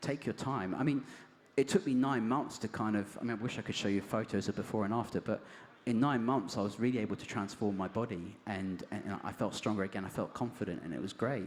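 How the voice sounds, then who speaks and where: A man's fairly low pitch with ordinary pitch variation at a fairly quick pace. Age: 40s. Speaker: cancer survivor and cyclist. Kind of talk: interview on stage. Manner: halting.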